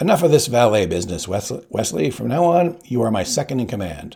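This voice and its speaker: In a raspy, put-on character voice, the speaker moves at a fairly quick pace with very wide pitch swings. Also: man, medium pitch for a man. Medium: read story. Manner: wry, casually threatening.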